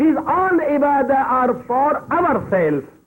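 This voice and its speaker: A speaker with a Pakistani accent talks at a fairly slow pace with ordinary pitch variation. Noticeable background noise runs underneath. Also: man. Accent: South Asian (Pakistani) English. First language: Urdu. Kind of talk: religious lecture.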